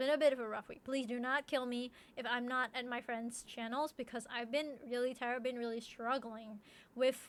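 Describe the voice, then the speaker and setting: Her pitch is high and her intonation monotone and flat as this woman speaks at a moderate pace. Her loudness swings widely. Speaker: streamer. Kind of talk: casual chat. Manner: halting.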